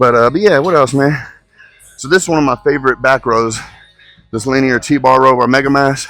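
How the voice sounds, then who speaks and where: A man speaks loudly at a medium pitch and a fairly quick pace. His intonation is fairly even, with music in the background. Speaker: bodybuilder and fitness coach. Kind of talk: casual vlog talk during a gym workout. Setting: gym.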